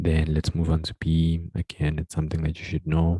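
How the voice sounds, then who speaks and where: This soft-spoken man has a very deep, low pitch and a dark, mellow, somewhat breathy tone, talking at a fairly quick pace in a flat monotone with a dry, close sound and no echo. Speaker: tutor. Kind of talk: tutorial.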